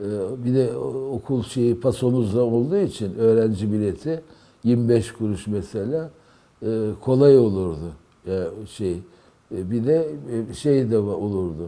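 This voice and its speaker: A man talks at a fairly slow pace with a medium pitch and a dark, mellow tone. His intonation is lively. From Istanbul, Turkey. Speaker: poet. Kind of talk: oral history interview. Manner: halting, many fillers.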